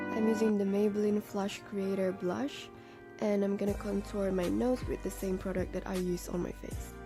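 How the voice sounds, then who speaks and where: With music playing behind her, a woman talks at a moderate speed. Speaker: makeup artist. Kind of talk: makeup tutorial voice-over.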